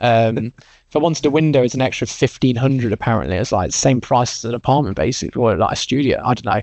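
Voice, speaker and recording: Speaking very fast with an English accent, a man holds a medium pitch with ordinary variation. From English Midlands. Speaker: recruitment business co-founder. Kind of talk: casual interview chat.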